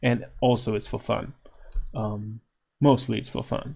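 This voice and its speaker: The voice has vocal fry and a dark, mellow tone. It moves at a very slow pace. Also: man. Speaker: software developer. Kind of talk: tutorial. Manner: casual, hesitant with fillers.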